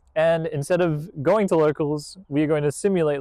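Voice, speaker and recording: Here a man talks with an Australian accent. The sound is dry and close, with no echo. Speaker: card game content creator. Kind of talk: deck profile tutorial. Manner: casual, conversational.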